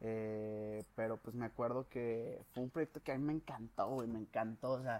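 At a moderate pace, a man speaks at medium pitch. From León, Guanajuato, Mexico. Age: 20s. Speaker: podcast host, engineering student. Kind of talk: casual chat.

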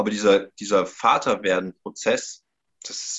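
Here a man talks at a fairly slow pace. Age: 30s. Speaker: life coach. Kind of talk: podcast interview.

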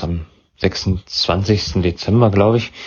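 A man's somewhat breathy voice sits at a fairly low pitch with ordinary pitch variation. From Thuringia, Germany (Weimar). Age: young. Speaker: podcaster. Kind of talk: interview.

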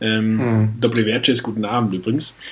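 A man's voice is heard with clearly audible noise in the background. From northern Germany. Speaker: podcast co-host. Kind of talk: casual chat. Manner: animated.

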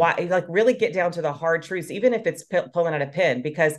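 A woman with a fairly low pitch talks with lively intonation against a quiet background. It is an unremarkable speaking voice. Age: 40s. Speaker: fitness coach. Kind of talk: casual chat.

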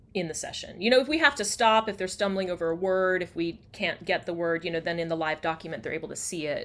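In an American accent, a woman speaks very fast with a fairly low pitch and lively intonation on a very clean recording with a silent background. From US South, near Atlanta, Georgia. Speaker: communication coach. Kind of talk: casual interview chat.

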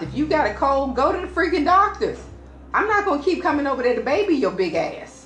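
A woman talks at a very fast pace with very wide pitch swings, over noticeable background noise and audible room echo. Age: 40s. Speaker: first date on a podcast. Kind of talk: casual chat.

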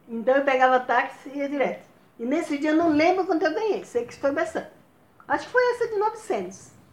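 The pitch swings very widely and the loudness shifts a great deal. The pace is fairly quick. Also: woman, high pitch for a woman. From Bahia, Brazil. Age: old. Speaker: grandmother telling life stories. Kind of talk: casual chat.

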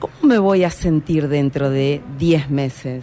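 A woman talks with a very deep, low pitch. Music plays in the background. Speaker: career coach. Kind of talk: podcast monologue.

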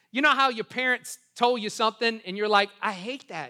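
In a very clean recording with a silent background, a man with an American accent projects a raised voice, high in pitch, bright and sharp, with an animated tone. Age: 40s. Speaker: pastor. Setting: church service with live audience. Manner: animated and rapid, with repeated words and quick self-corrections.

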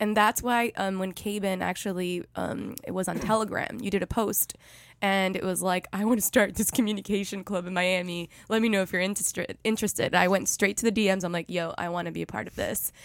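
A woman's medium-pitched, monotone voice with flat intonation at a fairly quick pace. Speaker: podcast host. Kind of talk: casual chat. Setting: studio.

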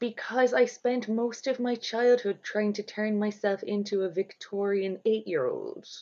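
In an Irish accent, the voice has a dark, mellow tone and ordinary pitch variation. It moves at a fairly slow pace with hardly any pauses. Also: woman, fairly high pitch for a woman. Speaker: podcast host. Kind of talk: casual chat, interview.

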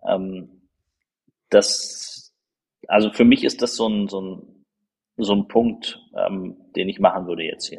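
This man speaks at a very slow pace, with long, frequent pauses. His loudness swings widely. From Berlin (Marzahn-Hellersdorf). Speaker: politician. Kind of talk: podcast interview.

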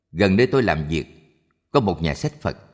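A man's voice with very wide pitch swings, over a quiet background. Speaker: audiobook narrator. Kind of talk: scripted narration of Buddhist short stories.

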